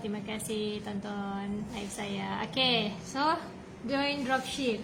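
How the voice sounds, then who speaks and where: Amid audible room echo and noticeable background noise, a woman talks at a very slow pace with ordinary pitch variation. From Malaysia, Sabah (Tawau). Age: 20s. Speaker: online seller, business coach. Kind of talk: live stream talk. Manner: hesitant, many fillers.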